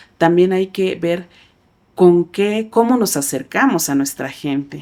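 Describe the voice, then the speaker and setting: Speaking at a fairly slow pace in a Chiapas accent, a woman has a dark, mellow tone. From Chiapas, Mexico (Tzeltal community). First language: Tzeltal (speaking Spanish). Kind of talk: interview. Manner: hesitant, many fillers.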